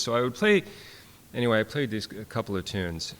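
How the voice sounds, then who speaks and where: A man's fairly low voice with lively intonation and a Minnesotan accent. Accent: Minnesota. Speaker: fiddler and professor. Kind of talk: workshop talk. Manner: halting, many fillers.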